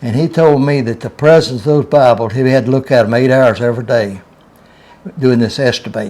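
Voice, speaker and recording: In a Southern US accent, a man talks at a moderate pace and medium pitch, his dark, mellow tone showing ordinary pitch variation. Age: 80s+. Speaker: retired railroad worker. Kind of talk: storytelling.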